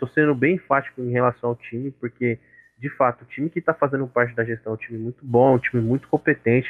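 A man speaks in an unremarkable speaking voice. His intonation stays fairly even. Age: 20s. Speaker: software engineer, student association member. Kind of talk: casual interview.

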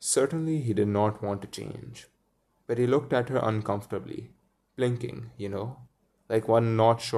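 Someone reads aloud in a natural voice with ordinary pitch variation against a quiet background.

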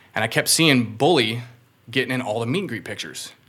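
This man talks very fast. His voice sits at a medium pitch. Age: 30s. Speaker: rapper and concert promoter. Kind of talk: casual chat.

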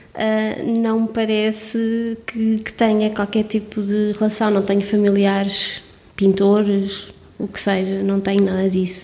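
Medium-pitched female speech, monotone and flat in intonation, at a fairly slow pace over noticeable background noise. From Portugal, Covilhã (Serra da Estrela). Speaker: street art curator and architect. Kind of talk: casual interview.

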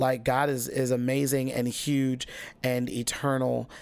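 A man on a very clean recording, silent background. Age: 30s. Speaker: podcast host and worship leader. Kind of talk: solo podcast monologue. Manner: casual with frequent fillers and repetitions.

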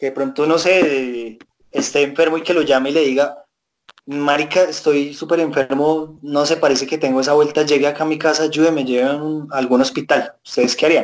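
A man's fairly high-pitched voice at a fairly quick pace, monotone and flat, with very even loudness. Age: 20s. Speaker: podcast co-host. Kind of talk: casual chat.

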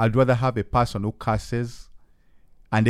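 In a very clean recording with a silent background, a man with a Ugandan accent talks at a moderate pace. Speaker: podcast host and hip hop artist. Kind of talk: casual chat. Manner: animated, hesitant with frequent fillers.

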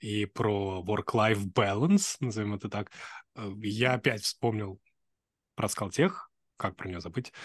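Very slow, with long, frequent pauses, a man speaks at a fairly low pitch with fairly even intonation. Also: quiet background. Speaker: podcast host. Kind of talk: casual interview. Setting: video call.

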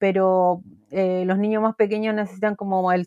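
In a Chilean accent, a woman talks at medium pitch with fairly even intonation, the sound dry and close with no echo over a quiet background. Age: 40s. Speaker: art therapist. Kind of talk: interview.

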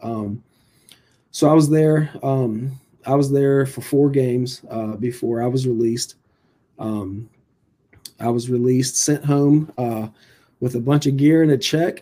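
Speaking fairly slowly with long, frequent pauses, a man with an American accent has a medium-pitched, dark, mellow tone and fairly even intonation. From Virginia Beach, Virginia. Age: 40s. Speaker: high school baseball coach. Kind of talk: casual interview.

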